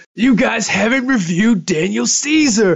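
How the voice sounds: Putting on a character voice, a man speaks at a high pitch and moderate pace with lively intonation.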